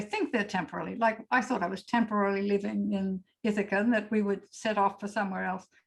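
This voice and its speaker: At a fairly quick pace, this woman's somewhat breathy voice keeps a fairly even intonation. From Australia. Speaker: poet. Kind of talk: panel discussion.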